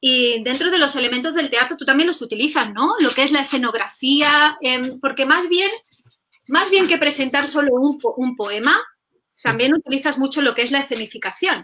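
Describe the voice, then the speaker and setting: A woman with a high pitch speaks in a raised, projected voice at a moderate pace. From Catalonia, Spain. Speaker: poetry video host; interview host. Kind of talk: casual interview chat. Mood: warm, appreciative. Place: home room.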